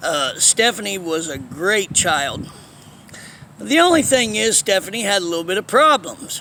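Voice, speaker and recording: A man speaks high in pitch with very wide pitch swings, in a raised, projected voice. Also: moderate pace. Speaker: vlogger telling life story. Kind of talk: personal storytelling monologue. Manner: casual, halting with fillers.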